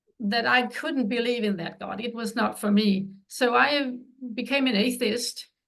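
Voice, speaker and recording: A woman with a Danish accent and vocal fry, at a fairly slow pace with ordinary pitch variation. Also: fairly high pitch for a woman. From Denmark. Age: 70s. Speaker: author. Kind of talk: interview.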